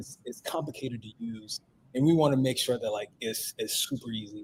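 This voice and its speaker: Fairly quick and somewhat breathy, a man speaks at a medium pitch. His pitch varies in an ordinary way. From Ghana. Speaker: tech startup founder. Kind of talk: interview. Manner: halting, many repetitions.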